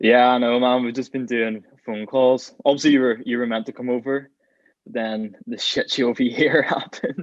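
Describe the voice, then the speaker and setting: Speaking in a Northern Irish accent, a man keeps a moderate pace and fairly even intonation. His loudness swings widely. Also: medium pitch for a man. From Northern Ireland. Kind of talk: podcast guest conversation.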